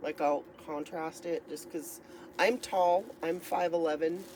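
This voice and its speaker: Noticeable noise sits behind speech delivered at a fairly slow pace. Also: woman. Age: 60s. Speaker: crochet vlogger. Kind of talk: casual chat. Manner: rambling, hesitant with many fillers.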